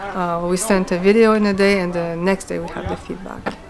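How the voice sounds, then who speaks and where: A woman speaks with a Quebec accent at a medium pitch, her intonation monotone and flat. Noticeable background noise runs beneath her. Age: 40s. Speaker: martial arts student. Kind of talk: interview. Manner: hesitant, with many fillers.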